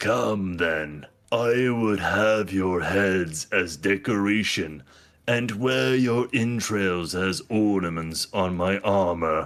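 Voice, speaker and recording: A man puts on a character voice, fairly low in pitch, and speaks at a very slow pace. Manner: menacing.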